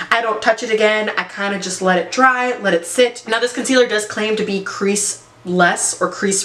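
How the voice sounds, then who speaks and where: A woman talks at a moderate pace in a fairly high voice, barely pausing. Background noise is noticeable throughout. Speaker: beauty vlogger. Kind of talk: product review tutorial. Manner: halting, stumbles on words; casual, conversational.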